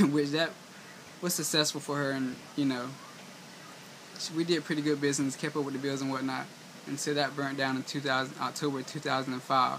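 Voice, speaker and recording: With a Southern US accent, a man talks at a fairly quick pace in a fairly high pitch and a monotone, flat intonation, while noticeable background noise is present. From US South, eastern North Carolina. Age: 20s. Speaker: vlogger. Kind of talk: personal vlog monologue. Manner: halting.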